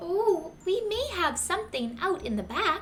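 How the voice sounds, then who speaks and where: A squeaky put-on character voice at a fairly slow pace, with clear background noise. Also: woman. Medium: read story.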